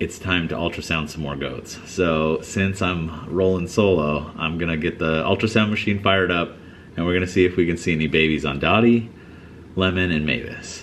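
Light background noise sits behind a man whose very deep, low voice moves at a moderate pace with ordinary pitch variation. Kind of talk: casual vlog chat. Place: farm machine. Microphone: phone near.

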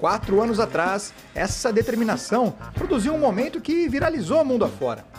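Music is audible in the background. The talking proceeds at a moderate pace. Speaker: TV news reporter. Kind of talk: TV news report narration.

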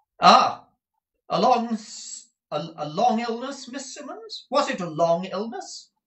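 Putting on a character voice, a man speaks extremely high with a fairly bright tone and big pitch swings. His pace is slow, and room echo is audible.

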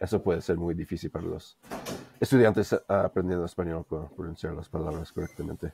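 A man's very deep, low voice with a dark, mellow tone and fairly even intonation, dry with no echo, over light background noise. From US, Denver; Colorado. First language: English (speaking Spanish). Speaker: language learner; interview guest. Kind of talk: interview. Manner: hesitant, many fillers. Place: home room.

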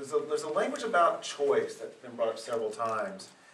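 A man speaks over noticeable background noise. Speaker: panel moderator. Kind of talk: panel discussion. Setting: stage with audience. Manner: halting.

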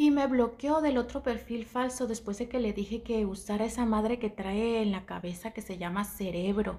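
The speech moves at a moderate pace with hardly any pauses. Pitch variation is ordinary. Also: woman. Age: 40s. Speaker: social media gossip vlogger; content creator. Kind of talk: casual monologue. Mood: indignant, annoyed. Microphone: headset.

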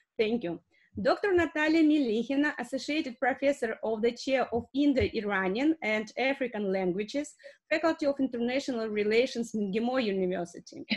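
A woman with a Russian accent speaks at a high pitch and a fairly quick pace. Her intonation is lively, and the background is quiet. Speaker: academic moderator. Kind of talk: moderating an online seminar. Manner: halting. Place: home room. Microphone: webcam.

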